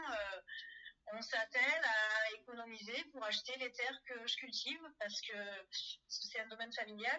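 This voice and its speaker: A woman speaks fairly slowly in a fairly high voice. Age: 40s. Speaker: farmer. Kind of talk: testimony. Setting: phone call. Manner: halting.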